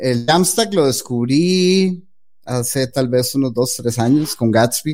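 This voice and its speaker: At a very slow pace, a man speaks at a fairly high pitch with ordinary pitch variation. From Costa Rica. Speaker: web developer. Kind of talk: interview.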